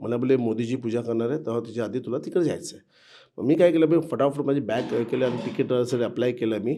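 There is audible room echo as a man with a dark, mellow tone and medium pitch speaks with ordinary pitch variation. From Mumbai, India (Girgaon). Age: 50s. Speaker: temple construction safety manager, former activist volunteer. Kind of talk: interview, personal reminiscence. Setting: old temple in Ayodhya.

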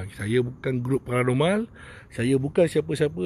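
A man speaks with ordinary pitch variation. The sound is dry with no echo, and there is light background noise. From Malaysia, Kuala Lumpur (Bandar Tun Razak); Kuala Lumpur, Malaysia. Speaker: spiritual healer. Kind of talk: live stream monologue. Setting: outdoors. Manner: rambling, repetitive. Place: open country. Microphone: initial audio problem; phone near.

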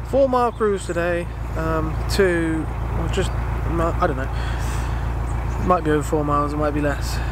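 A man's voice comes through dry with no echo, though noticeable background noise is present. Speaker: vlogger. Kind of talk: casual vlog chat. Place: waterside. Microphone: phone near.

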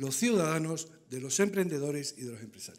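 Very fast speech from a man. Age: 60s. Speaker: auditor; conference presenter. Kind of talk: conference talk. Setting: stage with audience. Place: hall. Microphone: podium.

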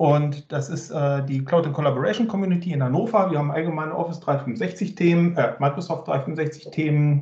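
Audible room echo surrounds a man speaking at a moderate pace with hardly any pauses, in a fairly high pitch with ordinary pitch variation. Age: 40s. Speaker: IT consultant and conference speaker; conference speaker. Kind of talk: technical presentation. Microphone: video call.

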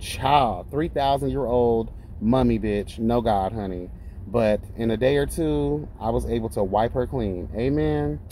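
A fairly slow delivery with very wide pitch swings, dry sound free of echo, and light background noise. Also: man. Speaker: skincare business owner vlogger. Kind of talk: casual vlog chat. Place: car. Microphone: phone near.

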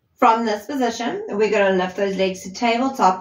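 A woman talks at a moderate pace. Room echo can be heard around her voice. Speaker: fitness instructor. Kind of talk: workout instruction. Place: empty room.

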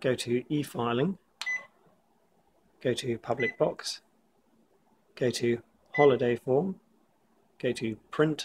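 A man's somewhat breathy voice at a medium pitch, with ordinary pitch variation, a very slow pace and long, frequent pauses. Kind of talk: tutorial walkthrough.

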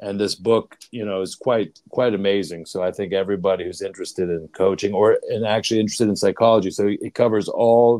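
Against a quiet background, a man with an American accent talks at a fairly quick pace in a fairly low pitch, using a normal speaking voice. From Pittsburgh, US. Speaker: leadership coach. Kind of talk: interview. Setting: video call. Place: home room. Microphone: earbuds.

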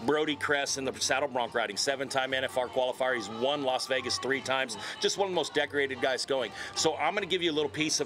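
A man talking at a very fast pace over faint music in the background. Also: ordinary pitch variation. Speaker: guest. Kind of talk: interview answer. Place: stadium. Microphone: handheld.

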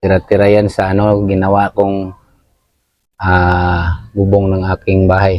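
Very deep and low, a man's voice moves at a fairly slow pace with long, frequent pauses, flat monotone intonation and very even loudness. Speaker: DIY YouTuber. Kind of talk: tutorial. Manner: casual, with fillers.

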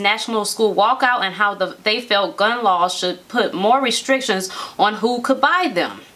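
A woman talks at a moderate pace with lively intonation. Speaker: show co-host. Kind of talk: reading news story with commentary. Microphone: camera far.

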